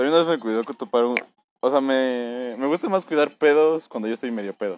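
A man at medium pitch with a Mexican accent, ordinary pitch variation, moderate pace, and a dry, close sound with no echo. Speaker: podcast co-host. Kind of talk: casual chat.

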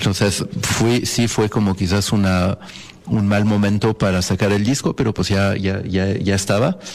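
A man speaks with a French accent and fairly even intonation. Noticeable background noise is present. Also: fairly slow pace. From France (Paris). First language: French (speaking Spanish). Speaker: jazz pianist. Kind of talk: casual interview. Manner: halting, many fillers.

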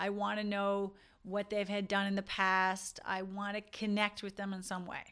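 On a very clean recording with a silent background, a woman speaks at a medium pitch in a bright, sharp tone. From Newfoundland, rural. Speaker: dentist and podcast host. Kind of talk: casual monologue to dentists.

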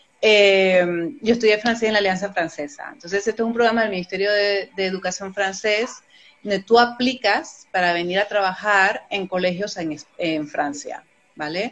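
A woman with a plain, everyday voice talks at a moderate pace and a medium pitch, with ordinary pitch variation. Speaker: immigration adviser. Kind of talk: interview.

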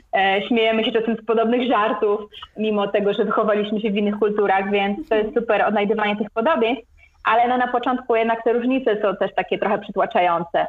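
A woman rushes along at a very fast pace, her intonation staying fairly even. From Poland, Gdańsk. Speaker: travel blogger. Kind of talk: interview.

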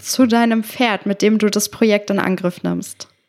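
With fairly even intonation, this woman's voice sits fairly high in pitch. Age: 20s. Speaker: podcast host and show jumper. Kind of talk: casual interview.

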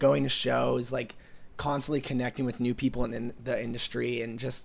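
Vocal fry marks a man's medium-pitched voice as he speaks at a moderate pace. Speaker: college student, music manager. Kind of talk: interview. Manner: casual, many fillers.

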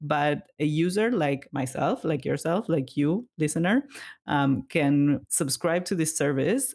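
Someone with a non-native accent speaks on a very clean recording against a silent background. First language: not English. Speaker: marketing podcast co-host. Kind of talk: casual chat.

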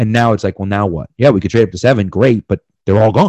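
Against a quiet background, a man with an American accent speaks at a very fast pace. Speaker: podcast co-host and sports writer. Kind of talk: casual chat. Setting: remote podcast interview.

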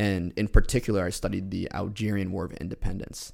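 This man's voice carries vocal fry. He speaks at a moderate pace with ordinary pitch variation. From New York (Westchester). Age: 20s. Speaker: entrepreneur. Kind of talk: interview.

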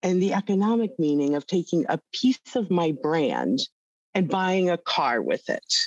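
A woman with a plain, everyday voice, lively intonation, and a fairly slow pace, in dry, close sound with no echo and a quiet background. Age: 60s. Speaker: accounting executive in crypto data firm. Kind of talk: interview.

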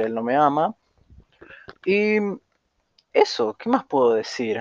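At a fairly slow pace and with lively intonation, this speaker talks in a Rioplatense accent, the sound dry and close with no echo. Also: man. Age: young. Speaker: podcaster. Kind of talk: casual monologue.

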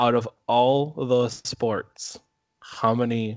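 A man with an Upper Midwest accent and fairly even intonation. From Minnesota. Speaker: podcast co-host. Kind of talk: casual chat.

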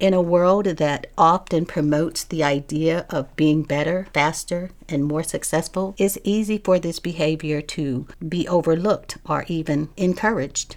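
Keeping a moderate pace with hardly any pauses, a woman uses a plain, everyday voice at fairly low pitch with fairly even intonation. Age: 60s. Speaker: podcast host. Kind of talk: solo monologue on mental health.

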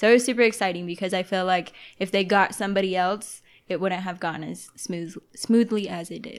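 A woman speaks in an ordinary speaking voice at a medium pitch, her intonation fairly even. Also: fairly quick pace, big swings in loudness. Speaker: real estate agent.

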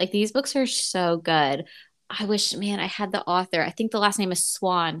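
An unremarkable speaking voice from a woman with an American accent, medium pitch, ordinary pitch variation and a moderate pace, in a very clean recording with a silent background. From United States, Mexican American. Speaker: podcast co-host. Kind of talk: casual chat.

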